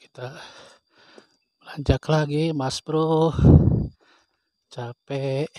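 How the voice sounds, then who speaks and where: Soft-spoken and fairly high in pitch, a man talks at a very slow pace with long, frequent pauses. His intonation is monotone and flat, and the sound is dry and close with no echo. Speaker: vlogger exploring abandoned village. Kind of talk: walking vlog narration. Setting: outdoors.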